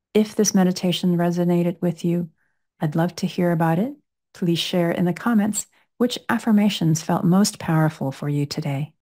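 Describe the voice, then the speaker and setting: Against a quiet background, a woman with a fairly low pitch and a dark, mellow tone speaks at a moderate pace with ordinary pitch variation. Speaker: fertility coach. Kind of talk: guided meditation. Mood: calm, soothing. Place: home room. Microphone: studio mic.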